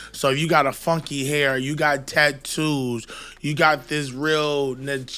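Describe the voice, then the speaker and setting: Loud and fairly slow, this voice has a bright, sharp tone and flat, monotone intonation on a very clean recording with a silent background. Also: man, fairly high pitch for a man. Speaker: podcast co-host and rapper. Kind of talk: casual chat.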